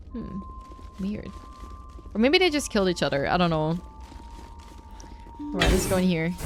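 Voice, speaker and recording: A woman talks over noticeable background noise. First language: not English. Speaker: gaming YouTuber. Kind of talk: let's play commentary.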